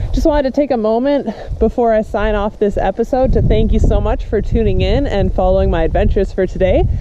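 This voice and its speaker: Over noticeable background noise, a woman talks at a very fast pace with very even loudness. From Canada, northern British Columbia. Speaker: professional basketball player and vlogger. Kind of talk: casual vlog.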